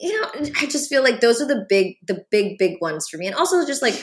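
Here a woman speaks at a fairly quick pace. Her voice comes across somewhat breathy. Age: 30s. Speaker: writer and actor. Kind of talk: casual chat.

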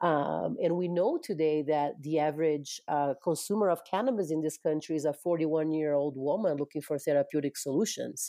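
A woman with a Portuguese accent, very deep and low in pitch, with ordinary pitch variation, a fairly quick pace, hardly any pauses, and very even loudness. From Brazil. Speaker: cannabis industry business development manager. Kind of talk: interview.

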